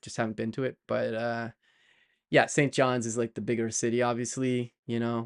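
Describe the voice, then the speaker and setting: Against a quiet background, a man talks at a medium pitch and a moderate pace, recorded with a dry, close sound and no echo. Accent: American. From Canada, Montreal. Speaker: software developer streamer. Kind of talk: casual live-stream chat. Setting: live stream. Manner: casual, many fillers and restarts.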